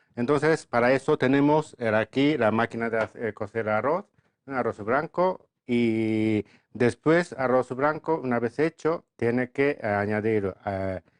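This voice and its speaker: A man with a Japanese accent at medium pitch, lively intonation and a fairly slow pace, in a dry, close sound with no echo. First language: Japanese (speaking Spanish). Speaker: restaurant owner and chef. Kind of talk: interview. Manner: halting.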